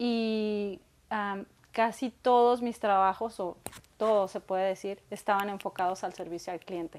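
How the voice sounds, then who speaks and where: Intonation stays fairly even from this woman. She keeps to a fairly slow pace. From Mexico, Guadalajara, Jalisco. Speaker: small business owner; guest. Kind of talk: interview conversation. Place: home room.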